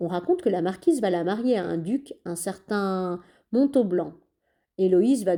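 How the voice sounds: Here is a natural reading voice. The background is quiet.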